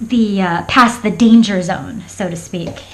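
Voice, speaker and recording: Audible room echo surrounds a woman speaking at a very slow pace. Her medium-pitched voice keeps a fairly even intonation. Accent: American. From Florida. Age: 40s. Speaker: craft vlogger. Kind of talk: casual chat. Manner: halting.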